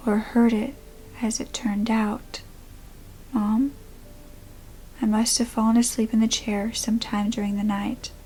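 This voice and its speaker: A woman's somewhat breathy, dark, mellow voice at fairly high pitch, with monotone, flat intonation. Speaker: creepypasta / true crime storyteller. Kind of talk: first-person horror story narration.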